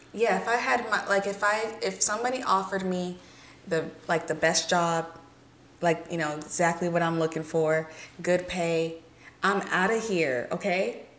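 Someone with an American accent speaks at a moderate pace with ordinary pitch variation, amid audible room echo and noticeable background noise. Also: woman, fairly low pitch for a woman. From US South (Alabama, Georgia, Mississippi). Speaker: podcast co-host. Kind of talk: casual chat.

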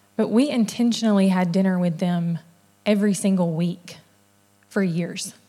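A woman talks at a moderate pace and medium pitch with a dark, mellow tone. Her loudness stays very even, with long, frequent pauses. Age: 30s. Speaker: church women's event leader. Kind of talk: sermon. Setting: church with audience.

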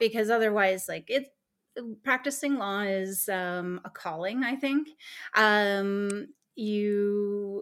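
In a Canadian accent, a woman uses a normal speaking voice at a medium pitch with ordinary pitch variation, recorded very cleanly over a silent background. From Eastern Ontario, Canada. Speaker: lawyer. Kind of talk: interview.

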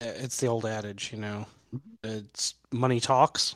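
A man with an ordinary speaking voice talks at medium pitch and a fairly slow pace, with fairly even intonation, in a dry, close sound with no echo. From New York City. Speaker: toy collector. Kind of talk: casual chat.

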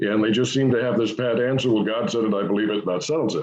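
Speaking at a very fast pace, a man uses a resonant voice with ordinary pitch variation. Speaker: creationist scientist. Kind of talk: interview.

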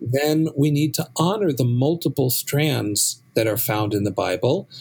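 A man with an American accent, medium pitch, a somewhat breathy voice, lively intonation and a moderate pace. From US West Coast, San Francisco. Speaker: rabbi and professor. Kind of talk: interview.

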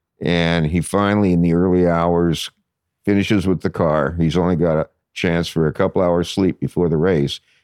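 A man with a Californian accent speaks in a very deep, low voice with monotone, flat intonation and very even loudness. The sound is dry and close with no echo, over a quiet background. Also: moderate pace. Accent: Californian American. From Los Angeles, San Fernando Valley. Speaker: poet and lyricist. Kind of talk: interview conversation. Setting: studio.

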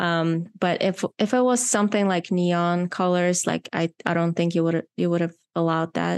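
In a non-native accent, a woman with a fairly low pitch and fairly even intonation keeps her loudness very even, recorded with a dry, close sound, no echo and a quiet background. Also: moderate pace. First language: not English. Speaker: podcast host and filmmaker. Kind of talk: casual interview chat. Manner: halting at times, searching for words.

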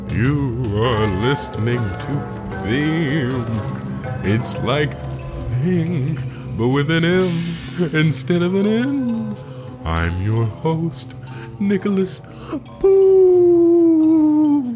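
A man's put-on character voice, fairly high in pitch and very slow, with clear music in the background. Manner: shaky, spooky.

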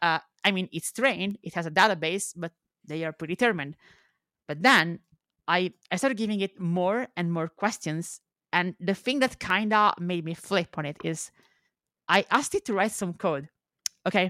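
A woman with a non-native accent and a bright, sharp tone speaks at a moderate pace with long, frequent pauses on a very clean recording with a silent background. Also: medium pitch for a woman, ordinary pitch variation, dry, close sound with no echo. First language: not English. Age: 20s. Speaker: YouTuber. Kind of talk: casual chat. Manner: halting, repeats words.

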